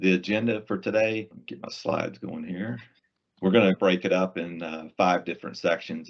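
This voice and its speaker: In a Southern US accent, a man speaks at a moderate pace with fairly even intonation and a very deep, low pitch. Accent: Southern US accent, noticeable. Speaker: IT solutions presales engineer. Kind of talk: webinar presentation. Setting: online webinar in Microsoft Teams. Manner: casual, conversational.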